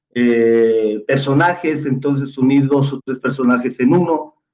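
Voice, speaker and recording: The speaker is a man. His tone is dark and mellow. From Mexico, Jalisco. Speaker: theatre director and playwright. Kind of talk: casual panel discussion.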